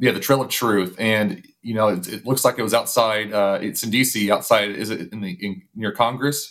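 The speech moves at a moderate pace with ordinary pitch variation and hardly any pauses. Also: man, fairly low pitch for a man. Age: 30s. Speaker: podcast host. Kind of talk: interview. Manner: halting.

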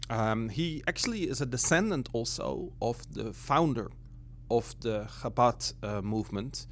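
Fairly slow speech from a man with a Dutch accent. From Netherlands. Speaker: missionary. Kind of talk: interview conversation.

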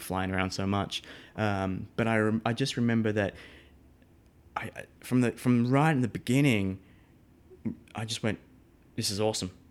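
Speaking with an Australian accent, a man uses ordinary pitch variation. His pace is fairly quick. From Australia, Melbourne. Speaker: live sound engineer. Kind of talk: casual interview.

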